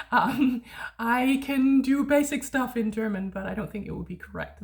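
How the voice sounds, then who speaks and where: A woman with a Danish accent and vocal fry speaks at a moderate pace with ordinary pitch variation. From Denmark. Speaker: language tutor. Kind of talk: casual educational monologue. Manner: hesitant with fillers.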